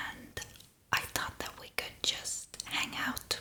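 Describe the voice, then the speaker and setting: Whispering in a relaxed tone at a fairly slow pace, a woman is heard over noticeable background noise. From Estonia. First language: Estonian. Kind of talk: ASMR makeup ramble. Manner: whispered; soft-spoken, relaxed.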